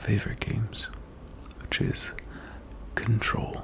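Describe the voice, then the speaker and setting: Whispering over noticeable background noise. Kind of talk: ASMR gameplay commentary. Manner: soft-spoken, relaxed.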